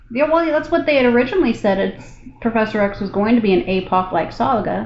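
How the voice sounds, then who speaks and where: Noticeable background noise sits behind a woman who talks very fast at a fairly high pitch with very wide pitch swings. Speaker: gaming streamer. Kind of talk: casual chat. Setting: hotel room, live with Discord. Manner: quiet.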